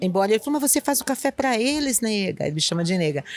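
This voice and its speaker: A woman with a northeastern Brazilian accent, fairly high-pitched with lively intonation, in a very clean recording with a silent background and a dry, close sound with no echo. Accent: northeastern Brazilian, kept after 20 years. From Northeast Brazil, Recife. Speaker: school principal. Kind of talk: interview conversation. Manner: calm; halting, many repetitions.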